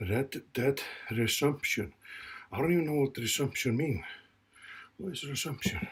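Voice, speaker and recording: Somewhat breathy, a man speaks at a fairly high pitch and moderate pace with ordinary pitch variation and long, frequent pauses. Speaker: fitness vlogger recovering from a stroke. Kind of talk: casual workout vlog talk. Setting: home gym. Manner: halting.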